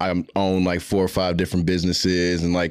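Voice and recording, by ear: A man speaks at a low pitch and a fairly quick pace. His tone is clear and smooth, his intonation monotone and flat.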